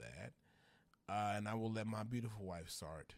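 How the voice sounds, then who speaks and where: In a Louisiana accent, a man speaks with fairly low pitch. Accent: Louisiana Southern US. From Louisiana, US South. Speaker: social media influencer, former teacher. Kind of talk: casual chat. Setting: studio, on camera.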